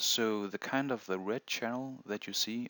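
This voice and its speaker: With a non-native accent, a man speaks at a fairly slow pace and a medium pitch. His pitch variation is ordinary, and the recording is very clean with a silent background. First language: not English. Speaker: meditation instructor. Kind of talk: tutorial. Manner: halting.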